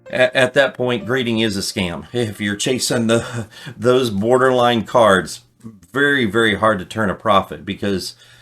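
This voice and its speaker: Speaking with a normal speaking voice, a man holds a medium pitch and a moderate pace, with ordinary pitch variation. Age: 60s. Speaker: card collecting youtuber. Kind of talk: casual tutorial. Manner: conversational with fillers.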